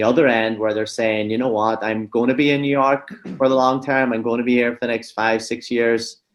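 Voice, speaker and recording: A man speaks with a Donegal Irish accent. His intonation stays fairly even. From Donegal, Ireland. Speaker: real estate broker. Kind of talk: podcast interview answer.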